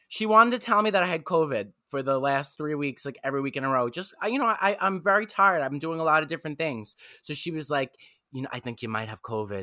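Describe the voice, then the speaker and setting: A man with a New York accent and a bright, sharp tone, going at a very fast pace with very wide pitch swings. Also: fairly high pitch for a man. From Staten Island, New York. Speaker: comedian. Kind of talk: casual chat. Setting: video call.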